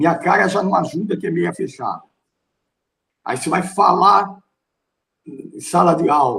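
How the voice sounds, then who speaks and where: A man's high-pitched voice with a bright, sharp tone and ordinary pitch variation, fairly slow with long, frequent pauses. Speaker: pastor and theology teacher. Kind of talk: lecture. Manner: forceful, strong tone.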